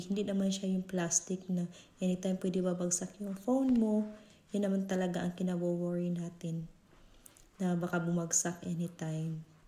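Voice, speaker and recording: A woman's voice has a dark, mellow tone and sounds somewhat breathy. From Visayas, Philippines. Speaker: vlogger. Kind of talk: product unboxing review. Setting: at home. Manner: casual, code-switching Tagalog and English.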